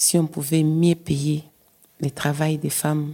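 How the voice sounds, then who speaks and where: Here a woman speaks fairly slowly in a very deep, low pitch, with a dark, mellow tone and monotone, flat intonation. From DR Congo. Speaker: migrant care worker, activist. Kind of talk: interview testimony.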